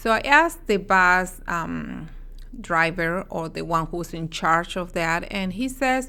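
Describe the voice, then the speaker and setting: Speaking at a very slow pace in a Spanish accent, a woman has a fairly low, bright, sharp voice with ordinary pitch variation. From Mexico. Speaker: dietitian. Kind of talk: interview. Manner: halting, with frequent fillers.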